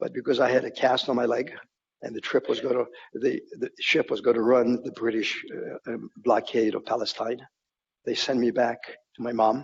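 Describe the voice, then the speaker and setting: At a moderate pace, a man speaks with a slight Polish accent. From Poland (Warsaw), then US (Oregon). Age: 80s+. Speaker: Holocaust survivor speaker. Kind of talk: testimony. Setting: corporate talk event. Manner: halting, with repetitions.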